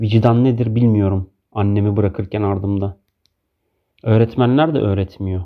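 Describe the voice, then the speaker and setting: This is a man with a fairly low pitch. His intonation stays fairly even. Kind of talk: poem reading. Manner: slow, measured, reflective.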